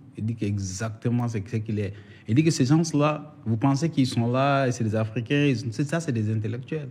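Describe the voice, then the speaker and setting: The man sounds somewhat breathy, with ordinary pitch variation. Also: medium pitch for a man, moderate pace. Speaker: doctor and former soldier. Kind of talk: casual interview. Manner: halting.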